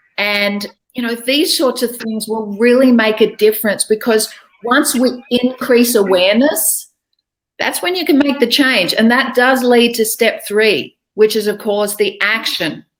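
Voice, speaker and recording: In an Australian accent, a woman with a fairly high voice speaks at a fairly slow pace with ordinary pitch variation. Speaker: English speaking coach. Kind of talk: online interview.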